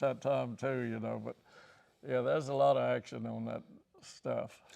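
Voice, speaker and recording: The man's loudness rises and falls in big swings. He keeps to a moderate pace. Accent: Virginia. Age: 80s+. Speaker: racing team co-founder and mechanic. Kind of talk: interview answer, storytelling.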